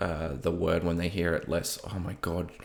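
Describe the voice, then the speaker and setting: The man's pitch is very deep and low. He speaks in a slight broad Australian accent. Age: 30s. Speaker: podcast host. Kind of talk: personal monologue. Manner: hesitant, many fillers.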